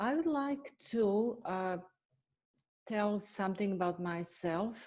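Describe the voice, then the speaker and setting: In a Bosnian accent, the woman speaks at a very slow pace. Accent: Bosnian accent, still noticeable. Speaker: veterinarian and animal nutritionist. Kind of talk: webinar self-introduction. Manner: halting, many fillers.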